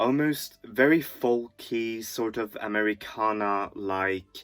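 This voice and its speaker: This man speaks at a very slow pace with a medium pitch. His pitch varies in an ordinary way. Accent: non-native. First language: not English. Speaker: music reviewer. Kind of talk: album review monologue. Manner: halting, many fillers.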